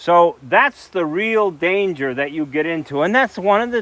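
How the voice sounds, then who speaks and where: With an American accent, a man talks at a high pitch with very wide pitch swings. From US West, central Idaho. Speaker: log building expert. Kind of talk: informal presentation; interview answer.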